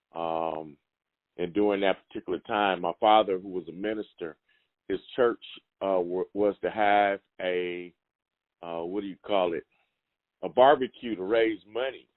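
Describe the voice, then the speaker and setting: A man with an American accent, fairly low pitch, ordinary pitch variation, a moderate pace and long, frequent pauses. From Los Angeles, California. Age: 60s. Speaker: professor and activist. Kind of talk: interview.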